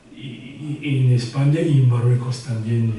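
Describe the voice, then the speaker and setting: Through noticeable background noise and audible room echo, the voice shows ordinary pitch variation. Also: man. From northern Morocco (Rif). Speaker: author, retired surgeon. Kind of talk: book presentation talk. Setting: venue with live audience. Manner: halting, many repetitions.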